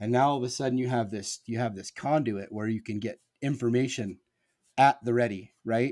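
A man with an American accent speaks at a moderate pace in an unremarkable speaking voice, his medium pitch held fairly even, on a very clean recording with a silent background. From Nebraska. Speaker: 311 fan. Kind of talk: casual chat.

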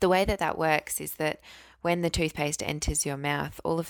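A woman talks with an Australian accent. The recording is very clean, with a silent background. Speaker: dentist. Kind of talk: explanatory advice.

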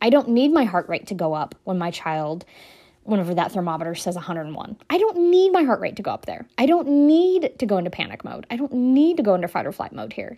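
On a very clean recording with a silent background, a woman speaks at a very fast pace and fairly high pitch. Her dark, mellow tone carries very wide pitch swings and big swings in loudness. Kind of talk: solo podcast talk. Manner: conversational, with many filler words.

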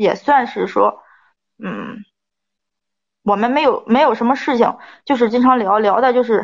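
This woman speaks at a moderate pace with a fairly high pitch and fairly even intonation. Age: 30s. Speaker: advice show caller. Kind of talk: personal story told to an advice host. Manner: halting.

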